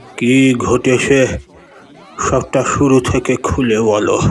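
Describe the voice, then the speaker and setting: In a put-on character voice, a man talks at medium pitch with monotone, flat intonation. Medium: audio drama. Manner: gruff, commanding.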